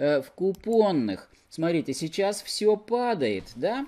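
His tone dark and mellow, a man speaks with very wide pitch swings. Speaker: investing blogger. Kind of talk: tutorial. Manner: informal, explanatory. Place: home room. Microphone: webcam.

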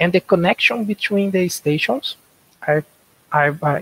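A man's high voice with a Portuguese accent, ordinary pitch variation and a moderate pace, in a dry sound with no echo. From Brazil. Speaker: software developer. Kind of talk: conference lightning talk. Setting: video call. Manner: halting. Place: home room. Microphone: headset.

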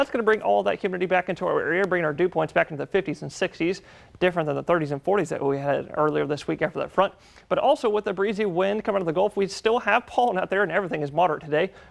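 Speaking at a very fast pace, a man uses a high pitch with ordinary pitch variation. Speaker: weather forecaster. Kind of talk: weather report. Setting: TV studio. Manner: animated, cheerful, repeating 'lovely' and 'y'all'. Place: studio.

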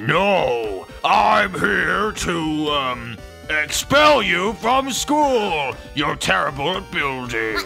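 A man's put-on character voice, fairly high and very slow, over clear background music.

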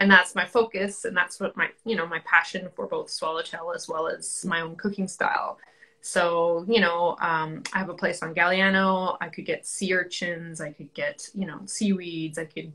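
A bright, sharp voice moves at a moderate pace with hardly any pauses. The intonation is fairly even, and the background is quiet. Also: woman. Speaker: guest. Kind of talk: interview answer. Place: home room. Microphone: video call.

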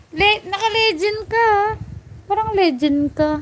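Over noticeable background noise, a woman with a Batangas accent speaks at a fairly slow pace. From Batangas, Philippines. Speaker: mobile game streamer. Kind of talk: live gaming stream chat. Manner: blunt, sounds bossy; not sweet or soft.

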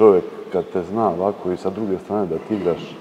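A man speaks at a moderate pace with light background noise behind him. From Serbia, Čačak; Serbia. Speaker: Orthodox priest. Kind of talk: interview. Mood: relaxed, smiling. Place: church.

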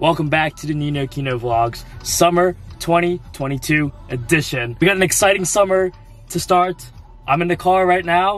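A man at a moderate pace with ordinary pitch variation, dry sound with no echo and faint music in the background. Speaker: vlogger. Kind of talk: casual vlog chat. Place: car.

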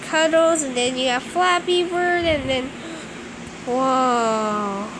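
There is noticeable background noise as a woman speaks. She uses a high pitch with ordinary pitch variation. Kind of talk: casual gameplay commentary.

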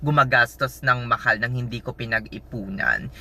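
A man speaks at a fairly slow pace with a medium pitch, an animated tone and ordinary pitch variation. His tone is bright and sharp, over a quiet background. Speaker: nurse vlogger. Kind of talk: casual vlog.

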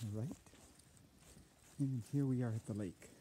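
A somewhat breathy man at a fairly slow pace with ordinary pitch variation, light background noise and a dry sound with no echo. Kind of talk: casual tour narration. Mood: relaxed, admiring. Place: waterside. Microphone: phone near.

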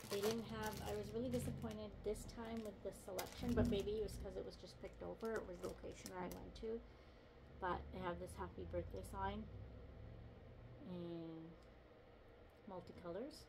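A woman speaks at a moderate pace with long, frequent pauses, with noticeable background noise behind her. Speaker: lifestyle vlogger. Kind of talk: casual talk to camera. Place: home room. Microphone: phone near.

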